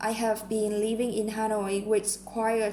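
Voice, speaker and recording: A woman speaks at a fairly high pitch. Room echo can be heard around her voice. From Vietnam. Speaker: English learner practising speaking test. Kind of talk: mock speaking exam answers. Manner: halting, many fillers.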